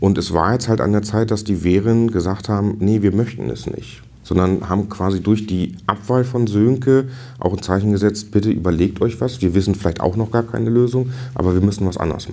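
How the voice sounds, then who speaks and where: At a fairly quick pace, a man speaks in an ordinary speaking voice, fairly low in pitch, with ordinary pitch variation. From northern Germany (Dithmarschen). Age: 40s. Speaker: district fire brigade chief. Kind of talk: interview.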